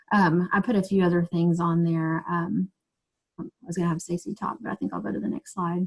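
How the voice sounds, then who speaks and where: A woman speaks at a fairly quick pace, somewhat breathy. Her pitch is fairly low with ordinary variation. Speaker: teacher and trauma-informed education trainer. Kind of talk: webinar presentation. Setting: online video webinar. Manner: fast.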